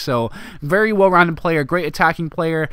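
Against noticeable background noise, a man with a fairly high voice speaks with ordinary pitch variation. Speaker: gaming YouTuber. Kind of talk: casual gameplay commentary. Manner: casual, friendly.

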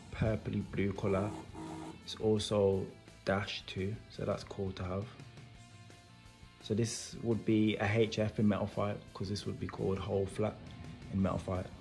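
Faint music plays in the background while a man with a fairly low pitch speaks in a monotone, flat intonation at a moderate pace, with long, frequent pauses. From Wolverhampton, England. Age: 20s. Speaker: toy reviewer YouTuber. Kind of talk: casual unboxing talk to camera. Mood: enthusiastic. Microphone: phone near.

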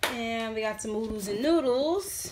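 There is audible room echo as a woman with a fairly high pitch and a slightly mellow tone speaks at a fairly slow pace with lively intonation.

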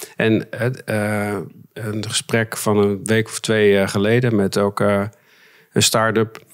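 A man at a very slow pace, fairly low in pitch and monotone in intonation, against a quiet background. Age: 50s. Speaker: mediator; podcast guest. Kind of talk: interview. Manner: halting. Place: studio. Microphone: studio mic.

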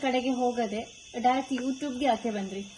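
A woman's high voice, its pitch varying in an ordinary way, comes through over noticeable background noise. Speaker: YouTuber. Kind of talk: interview.

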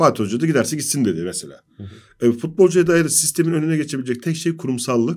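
Over a quiet background, a man with an ordinary speaking voice talks at a fairly quick pace with lively intonation. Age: 40s. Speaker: sports journalist. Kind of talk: football analysis panel discussion. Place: studio. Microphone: studio mic.

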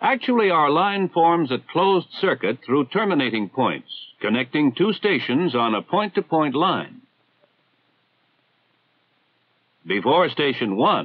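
A man speaks at a fairly slow pace. The background is quiet. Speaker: film narrator. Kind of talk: educational narration. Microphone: old recording.

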